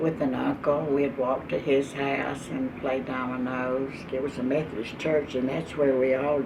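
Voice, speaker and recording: A woman in an East Texas accent, very deep and low in pitch, at a moderate pace with fairly even intonation, with audible room echo and noticeable background noise. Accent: East Texas Southern US. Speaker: oral history interviewee. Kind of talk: oral history interview. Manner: halting.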